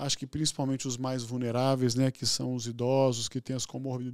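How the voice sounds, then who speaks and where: Over a quiet background, a man talks at a moderate pace in a monotone, flat intonation, with a dry sound and no echo. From Minas Gerais, Brazil. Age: 60s. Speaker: physician and hospital executive; guest. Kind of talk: interview conversation. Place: studio. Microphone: studio mic.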